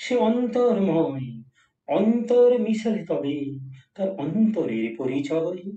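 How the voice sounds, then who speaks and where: A man's dark, mellow voice, somewhat breathy, with very wide swings in pitch. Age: 70s. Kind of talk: poetry reading.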